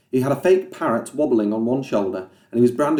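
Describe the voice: The clip is plain reading aloud. The text is read out as written.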